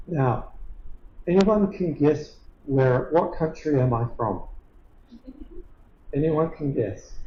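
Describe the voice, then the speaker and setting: Very slow and somewhat breathy, a man with an Australian accent and a fairly high pitch speaks with lively intonation and long, frequent pauses amid audible room echo. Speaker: professor. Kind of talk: lecture.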